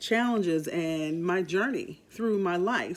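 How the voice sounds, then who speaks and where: At a moderate pace and medium pitch, a woman speaks in an ordinary speaking voice with ordinary pitch variation on a very clean recording with a silent background. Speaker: radio host and voice talent. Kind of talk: podcast introduction talk. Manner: warm, upbeat.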